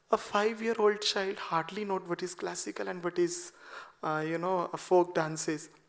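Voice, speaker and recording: Soft-spoken and high in pitch, a man with a Punjabi accent talks at a moderate pace with fairly even intonation. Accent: Indian English, Punjabi. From Punjab, India. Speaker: classical dancer. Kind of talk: seminar talk. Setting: auditorium with audience.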